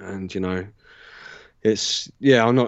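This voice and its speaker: This man speaks with a southern English accent. His pitch is fairly low and his pace moderate. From Southern England, Southampton. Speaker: natural law researcher and teacher. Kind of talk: casual interview. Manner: halting, many fillers.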